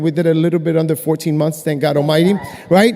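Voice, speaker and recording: In an animated tone, a man speaks at a very fast pace amid noticeable background noise. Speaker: network marketing distributor. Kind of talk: convention stage testimony. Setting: stage with audience.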